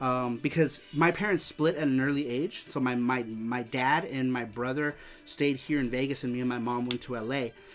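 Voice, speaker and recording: Over music in the background, a man with an American accent talks at a moderate pace and medium pitch, hardly pausing at all. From US West Coast, East Los Angeles. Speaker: streamer hosting a retro game show. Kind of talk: live stream chat. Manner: casual, halting with repetitions.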